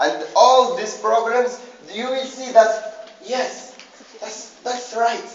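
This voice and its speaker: In a Moroccan accent, a man speaks through audible room echo and noticeable background noise. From Morocco. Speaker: student presenter. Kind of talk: class presentation. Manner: halting, with many repetitions.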